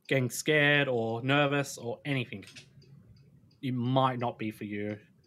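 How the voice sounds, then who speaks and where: A man with an Australian accent, medium pitch, fairly even intonation and a moderate pace. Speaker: streamer. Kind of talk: casual chat.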